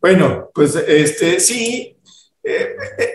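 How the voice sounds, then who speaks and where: Talking at a very slow pace, a man is heard with audible room echo. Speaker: podcast host. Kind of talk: casual chat. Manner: halting.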